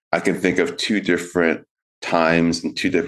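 In a calm tone, a man with an American accent and a very deep, low pitch talks against a quiet background. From Connecticut, US. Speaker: author and qigong teacher. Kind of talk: interview.

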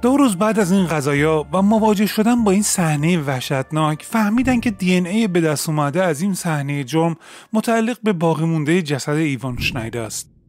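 A man talks at a moderate pace with hardly any pauses, his voice high-pitched and his intonation lively. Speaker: true crime podcaster. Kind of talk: true-crime narration. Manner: steady storytelling, grave and measured; fluent, formal written-style delivery.

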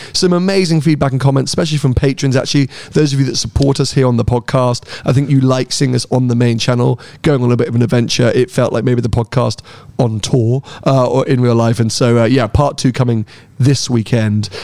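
In a British accent, a man speaks at a fairly quick pace with a medium pitch, a dark, mellow tone, ordinary pitch variation and very even loudness. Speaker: motoring podcast host and car YouTuber. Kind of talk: casual chat.

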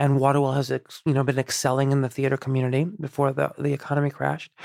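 A man's fairly high voice, dry and close with no echo, on a very clean recording against a silent background. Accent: Chicago. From Iran, raised outside Chicago from childhood. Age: 30s. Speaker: actor and writer-director. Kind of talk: casual interview conversation. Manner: halting, many false starts and repetitions.

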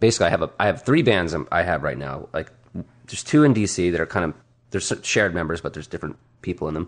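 A man talks very fast with a very deep, low pitch and vocal fry. His intonation is lively. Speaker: musician. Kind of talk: casual chat. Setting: home basement studio.

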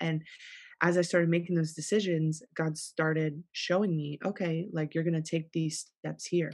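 In an ordinary speaking voice, a woman with an American accent talks at a moderate pace, fairly low in pitch with fairly even intonation, over a quiet background. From South Florida. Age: 30s. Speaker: pastor. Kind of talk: casual chat. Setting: studio.

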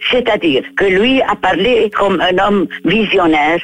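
Over noticeable background noise, a woman with an Arabic accent speaks at a very slow pace with ordinary pitch variation. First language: Arabic (speaking French). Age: 80s+. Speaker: writer. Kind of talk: interview. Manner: halting.

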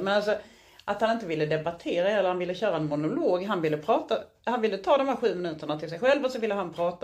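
A woman rattles along at a very fast pace, her medium-pitched voice full of lively intonation. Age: 40s. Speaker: podcast co-host. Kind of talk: casual chat. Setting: hotel room.

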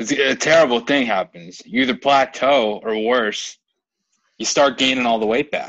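The clip features an unremarkable speaking voice set at a moderate tempo. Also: man, medium pitch for a man, ordinary pitch variation. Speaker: podcast host. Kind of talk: casual podcast chat.

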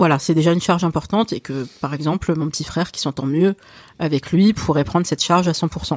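At a moderate pace, a woman with a very deep, low pitch speaks in a dry, close sound with no echo, on a very clean recording with a silent background. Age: 40s. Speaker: family caregiver and invited expert. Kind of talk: interview conversation.

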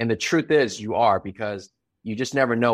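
A man speaks in an unremarkable speaking voice. His pitch is fairly low and his pace fairly quick. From US, immigrant from Taiwan. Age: 40s. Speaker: entrepreneur. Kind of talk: interview.

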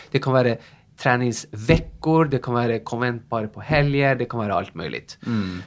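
Someone with a Norwegian accent speaks in a very clean recording with a silent background. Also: man. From northern Norway. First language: Norwegian (speaking Swedish). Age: 40s. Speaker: fitness instructor. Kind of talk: interview.

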